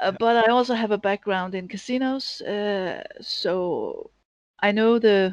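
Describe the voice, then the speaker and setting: In a Danish accent, a woman speaks at a fairly slow pace with ordinary pitch variation. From Denmark. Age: 50s. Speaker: data analyst and sports bettor. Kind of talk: interview. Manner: halting.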